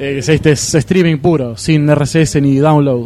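A man talks over noticeable background noise. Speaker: podcast co-host. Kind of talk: casual chat. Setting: live podcast festival table.

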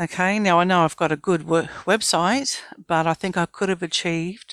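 A woman with an Australian accent speaks at a fairly low pitch and a moderate pace, her intonation fairly even. The sound is dry and close with no echo, on a very clean recording with a silent background. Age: 50s. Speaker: business founder. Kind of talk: interview.

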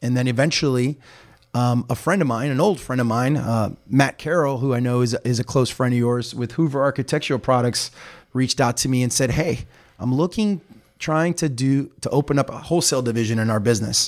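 Heard over a silent background in a very clean recording, a man speaks with an American accent and a plain, everyday voice. His pitch is medium, with ordinary pitch variation and a fairly quick pace. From Miami area, Florida (Hialeah). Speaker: chamber of commerce president. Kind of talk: interview.

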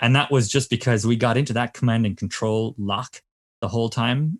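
A man with a Cork accent speaks at a fairly quick pace, his medium pitch showing ordinary variation, on a very clean recording with a silent background. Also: dry, close sound with no echo. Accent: Cork Irish. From Ireland, Cork. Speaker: innovation consultant. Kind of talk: casual chat.

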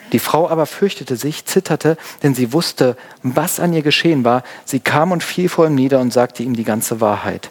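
Fairly high male voice with a warm tone, dry, close sound with no echo, and noticeable background noise. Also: ordinary pitch variation, moderate pace. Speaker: pastor. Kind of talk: sermon. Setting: church. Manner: casual, conversational; warm, explanatory.

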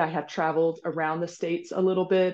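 A woman with a fairly low voice speaks against a quiet background. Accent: American. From US Midwest, rural Kansas. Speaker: executive leadership coach. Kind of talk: podcast interview. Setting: video call.

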